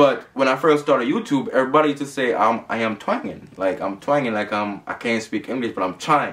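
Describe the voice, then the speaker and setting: Talking very fast in a Jamaican accent, a man uses a fairly high pitch. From Jamaica, Saint Thomas. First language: Jamaican Patois. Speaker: YouTuber. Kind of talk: casual Q&A vlog.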